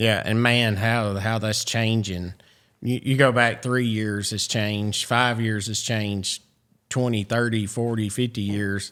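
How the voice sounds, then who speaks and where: In a very clean recording with a silent background, a medium-pitched man speaks slowly and in a flat monotone with a Southern US accent. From US South. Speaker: podcast host. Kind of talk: podcast interview. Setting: studio.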